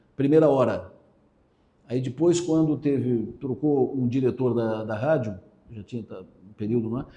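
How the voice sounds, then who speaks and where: A man's dark, mellow, medium-pitched voice at a fairly slow pace. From southern Santa Catarina, Brazil (Araranguá). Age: 60s. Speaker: radio host and journalist. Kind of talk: interview. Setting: radio station.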